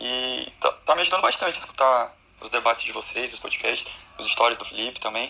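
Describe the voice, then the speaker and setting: Big swings in loudness at a fairly quick pace, with noticeable background noise. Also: man. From Brazil. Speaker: law student. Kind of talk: live Q&A question.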